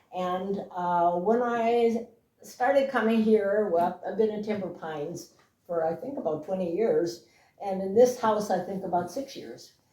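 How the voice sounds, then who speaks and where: At a fairly slow pace, a woman speaks at medium pitch in a dark, mellow tone, with ordinary pitch variation and big swings in loudness. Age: 80s+. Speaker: interviewee sharing family memories. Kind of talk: casual interview. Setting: at home.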